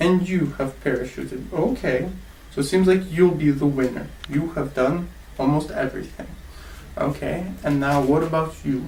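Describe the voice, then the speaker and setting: With an American accent and audible room echo, a man speaks at a moderate pace in a fairly high voice with ordinary pitch variation. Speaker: English teacher. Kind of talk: classroom lesson. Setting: classroom with students.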